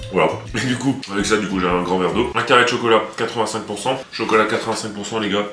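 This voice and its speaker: Noticeable background noise surrounds a man talking at a very fast pace. His voice sits fairly low in pitch. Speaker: fitness youtuber, powerlifter. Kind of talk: casual vlog. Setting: gym. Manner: animated.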